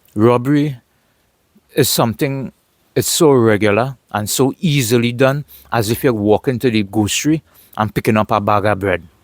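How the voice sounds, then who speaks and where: A man with a Trinidadian accent speaks at a medium pitch and moderate pace, using ordinary pitch variation and long, frequent pauses, in a dry, close sound with no echo. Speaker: vlogger. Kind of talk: casual monologue vlog.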